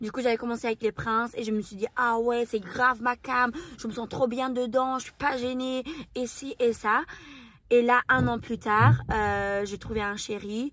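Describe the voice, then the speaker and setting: A woman with a non-native accent speaks at a fairly high pitch in a monotone, flat intonation. Her loudness shifts in big swings. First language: not French (speaking French). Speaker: YouTuber and reality TV contestant. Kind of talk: Q&A interview. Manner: very expressive; mannered speech.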